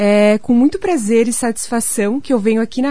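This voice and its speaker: In a normal speaking voice, a woman speaks at a moderate pace and a fairly high pitch, with ordinary pitch variation. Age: 30s. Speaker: pension fund sales agent. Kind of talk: sales pitch on radio. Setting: radio studio.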